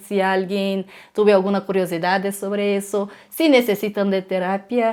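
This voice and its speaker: A woman speaks at a very slow pace in a Portuguese accent. Her pitch sits in the medium range. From Brazil, Brasilia. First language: Portuguese (speaking Spanish). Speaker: psychologist and traveler. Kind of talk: casual interview chat. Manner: halting, searching for words.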